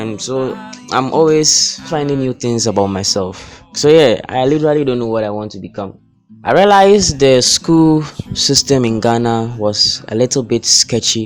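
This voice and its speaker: A man speaks at a moderate pace with music in the background. His pitch is medium, with ordinary variation. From Ghana. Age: 20s. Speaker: software engineering student. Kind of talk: casual talk to camera.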